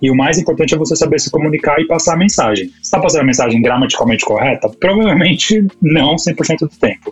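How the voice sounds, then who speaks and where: With music in the background, the speaker rushes along at a very fast pace in lively intonation with hardly any pauses. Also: man, fairly high pitch for a man. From Brazil, São Paulo. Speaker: marketing professional, immigrant in Canada. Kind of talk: casual chat.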